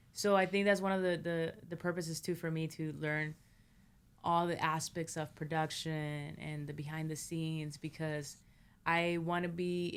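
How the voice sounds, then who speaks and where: A woman with a Spanish accent speaks at a fairly slow pace in a very deep, low pitch. Her intonation is monotone and flat, in a very clean recording with a silent background. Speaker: filmmaker and producer. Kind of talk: interview conversation.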